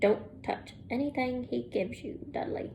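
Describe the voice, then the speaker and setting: A raspy, put-on character voice from a woman at a moderate pace, with clear background noise. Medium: read story.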